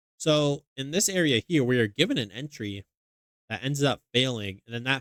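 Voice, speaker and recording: The sound is dry and close, with no echo. Pitch varies in an ordinary way. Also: man. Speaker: day trading educator. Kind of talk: tutorial. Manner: fast; casual.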